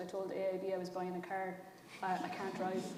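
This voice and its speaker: Speaking in a Kerry Irish accent, a woman talks at a fairly quick pace with a medium pitch. Noticeable background noise and audible room echo fill the recording. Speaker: writer-director. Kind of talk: panel discussion.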